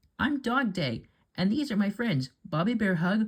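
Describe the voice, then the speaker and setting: A put-on character voice. It sits at a fairly high pitch. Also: moderate pace. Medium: read story.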